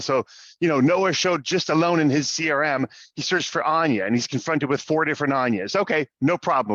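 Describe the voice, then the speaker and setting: The speech moves at a very fast pace with lively intonation. The sound is dry and close with no echo, over a quiet background. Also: man. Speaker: software sales representative. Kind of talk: webinar presentation.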